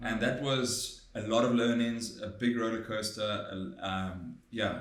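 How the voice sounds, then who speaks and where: A man speaks with ordinary pitch variation, and the recording has audible room echo and noticeable background noise. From South Africa, Durban. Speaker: tech product manager. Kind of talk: podcast interview.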